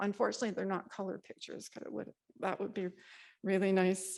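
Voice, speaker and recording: Speaking at a fairly quick pace, a woman uses a medium pitch with vocal fry. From western Canada, Ucluelet, Vancouver Island. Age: 70s. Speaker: community storyteller. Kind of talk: storytelling talk to a live audience. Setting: community workshop with audience. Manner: informal, with fillers and false starts.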